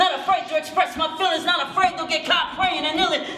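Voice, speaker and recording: A man's raised, projected voice with fairly even intonation, light background noise and audible room echo. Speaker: spoken word poet. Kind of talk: spoken word performance to live audience. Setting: high school auditorium, live audience. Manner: rhythmic, fast. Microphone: camera far.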